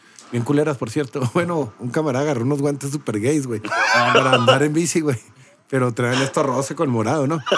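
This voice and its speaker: A man at a medium pitch, fairly quick pace and ordinary pitch variation, with noticeable background noise. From Mexico. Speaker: podcast host. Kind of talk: casual chat.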